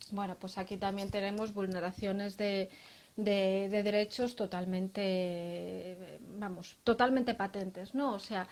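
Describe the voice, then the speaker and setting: A woman's medium-pitched, monotone, flat voice at a fairly slow pace, on a very clean recording with a silent background. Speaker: lawyer. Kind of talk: interview. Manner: hesitant, many fillers.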